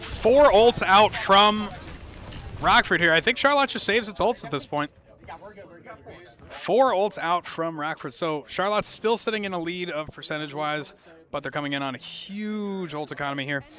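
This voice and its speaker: Loud and high-pitched, a man talks at a moderate pace with lively intonation. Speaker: esports caster. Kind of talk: live commentary. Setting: livestream.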